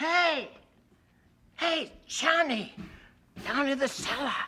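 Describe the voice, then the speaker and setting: In a put-on character voice, the speaker uses a high pitch at a very slow pace. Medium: audio drama.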